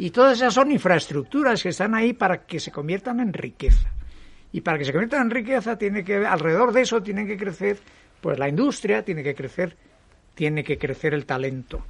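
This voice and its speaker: A man with a high pitch talks at a fairly quick pace, his voice making very wide pitch swings. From Mexico, then Spain from age 15. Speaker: physician and science foundation director. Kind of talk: televised panel debate.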